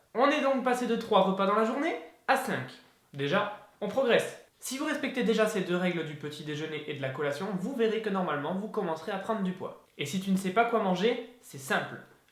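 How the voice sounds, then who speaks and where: Animated and high-pitched, a man talks with lively intonation amid noticeable background noise and audible room echo. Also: fairly quick pace. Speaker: fitness youtuber. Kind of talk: tutorial. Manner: fast; casual, animated.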